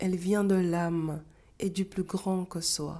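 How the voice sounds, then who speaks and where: The voice moves at a very slow pace in a flat monotone, captured in a very clean recording with a silent background. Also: woman. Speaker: self-help coach. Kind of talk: scripted talk to camera.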